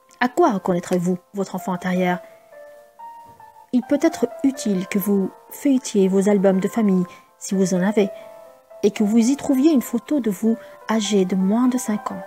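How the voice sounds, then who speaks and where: A woman speaks in a calm tone at a medium pitch, with ordinary pitch variation, long and frequent pauses, and music playing in the background. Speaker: voice-over artist. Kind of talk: self-help book reading. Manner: calm, slow.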